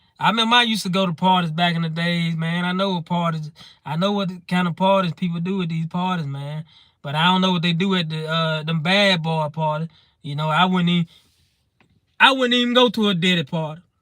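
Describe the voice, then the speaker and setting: High-pitched male voice with a Mississippi accent, fairly quick, with ordinary pitch variation. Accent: Southern US (Mississippi). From Mississippi, US South. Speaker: comedy streamer. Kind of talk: live stream comedy chat. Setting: live stream.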